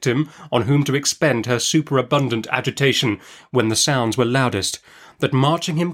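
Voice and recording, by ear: The pitch moves in an ordinary way. The reading aloud is done in a natural voice.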